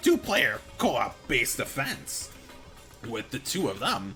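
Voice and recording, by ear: Clear music plays in the background as a put-on character voice speaks at a fairly slow pace. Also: man.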